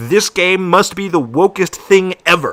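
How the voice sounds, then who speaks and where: A man's high-pitched voice at a very slow pace. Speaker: streamer reacting to a video. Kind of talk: live stream reaction commentary. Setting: live stream. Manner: animated.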